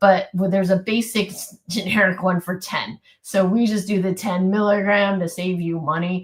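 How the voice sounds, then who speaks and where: A woman speaks in a monotone, flat intonation, somewhat breathy. She hardly pauses at all. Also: medium pitch for a woman, moderate pace. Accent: American. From US West Coast, California Bay Area. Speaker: physician. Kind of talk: live webinar Q&A answers.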